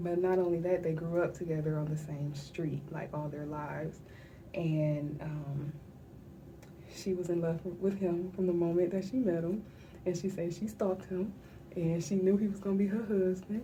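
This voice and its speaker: A woman whispers in a somewhat breathy way at a moderate pace, with long, frequent pauses and audible room echo. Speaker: vlogger sharing personal grief diary. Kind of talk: personal video diary. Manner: whispering.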